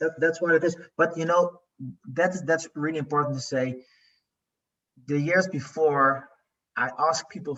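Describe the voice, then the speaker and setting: A man with a Dutch accent talks at a moderate pace in a fairly high voice, with fairly even intonation. His loudness swings widely, and he leaves long, frequent pauses. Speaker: coaching client, business owner. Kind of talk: interview. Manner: halting.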